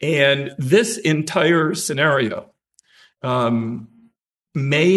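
The man's voice has lively intonation. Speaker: defense attorney. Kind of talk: oral argument before a court. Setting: courtroom. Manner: formal, measured courtroom oratory.

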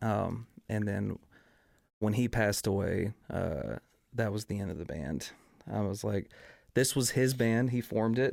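Speaking fairly slowly with long, frequent pauses, a man with an American accent uses a fairly low, creaky voice with vocal fry, in a very clean recording with a silent background. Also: ordinary pitch variation. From East Texas. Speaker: singer and band frontman. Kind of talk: casual chat. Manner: calm.

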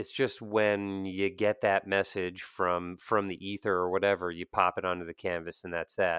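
A very deep, low male voice with an American accent, monotone, flat intonation, a moderate pace and hardly any pauses. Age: 30s. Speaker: artist. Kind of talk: casual interview chat. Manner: even, laid-back.

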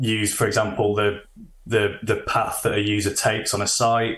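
A man speaks with a Yorkshire accent. His pitch sits fairly low. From Sheffield, northern England. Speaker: management consultant. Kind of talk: interview. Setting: remote call.

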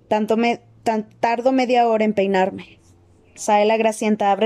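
A woman delivers her lines in a dramatic tone, with a dark, mellow quality at a medium pitch. Her intonation stays monotone and flat, and the sound is dry and close with no echo. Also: quiet background. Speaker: audiobook narrator. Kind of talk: reading aloud. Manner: dramatic reading.

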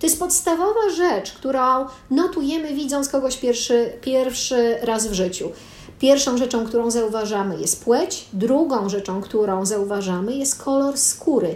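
Over noticeable background noise, a woman with a high pitch talks at a fairly slow pace, her pitch swinging very widely. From Poland. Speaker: podcast co-host. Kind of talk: conversational discussion.

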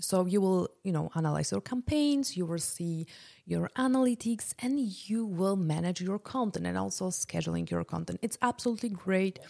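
A woman with a Polish accent, medium pitch and a dark, mellow tone, lively intonation at a moderate pace, in a dry, close sound with no echo on a very clean recording with a silent background. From Poland. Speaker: podcast host, business consultant and entrepreneur. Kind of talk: solo podcast presentation, casual and promotional. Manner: casual, conversational, uses many filler words.

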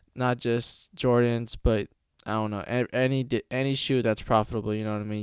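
The pace of this man's speech is moderate. His intonation is fairly even. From California, Stockton. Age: young. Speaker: podcast host. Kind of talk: casual monologue. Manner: halting, many fillers.

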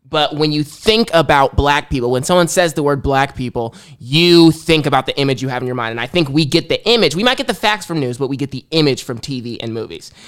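This man talks at a very fast pace with hardly any pauses. His pitch is fairly high and his intonation lively. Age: young. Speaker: college student intern, aspiring journalist. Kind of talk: casual chat. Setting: studio.

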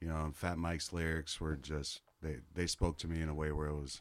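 Monotone, flat intonation at a fairly quick pace, with an American accent. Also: man. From US Midwest. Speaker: podcast host and touring musician. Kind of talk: casual chat.

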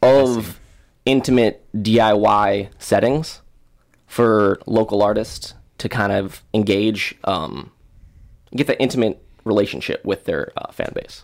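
At a very slow pace, the speaker talks with an American accent in a very clean recording with a silent background. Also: man, fairly low pitch for a man, ordinary pitch variation. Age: 20s. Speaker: event promoter. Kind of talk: casual chat.

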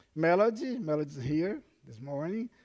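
A man speaks with a Portuguese accent. The recording is very clean, and the background is silent. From Brazil. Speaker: pastor. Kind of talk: sermon. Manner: halting, with frequent fillers.

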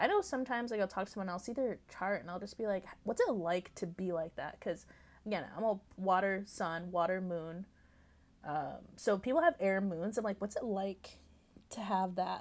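A woman mumbles at a medium pitch. The recording is very clean, with a silent background. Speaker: podcast host. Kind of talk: casual solo talk. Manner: fast when excited; mumbling.

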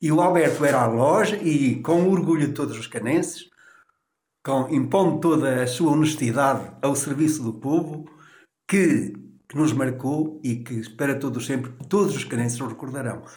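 A man speaks at a fairly high pitch and moderate pace, somewhat breathy, with ordinary pitch variation. Room echo is audible. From Portugal, Canas de Senhorim (Viseu district). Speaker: tailor. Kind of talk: oral history interview.

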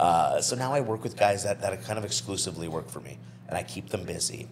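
Behind the voice sits noticeable background noise. The speaker is a man. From New Brunswick, Canada. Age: 30s. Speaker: property management business owner. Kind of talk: casual interview.

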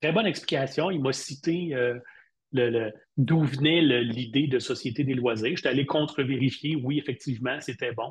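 Somewhat breathy, a man of medium pitch speaks at a moderate pace with ordinary pitch variation. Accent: Quebec. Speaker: university lecturer and digital marketing expert. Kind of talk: casual interview.

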